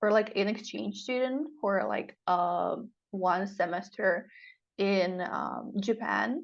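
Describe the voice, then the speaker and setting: A woman speaks very slowly at a medium pitch, with vocal fry and ordinary pitch variation. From Europe. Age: 20s. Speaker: marriage agency client. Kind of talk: interview. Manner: animated.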